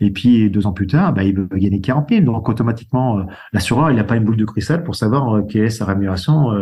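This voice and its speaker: This man speaks at a very fast pace with a fairly low pitch. His voice is somewhat breathy, with ordinary pitch variation. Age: 60s. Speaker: insurance broker. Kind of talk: interview.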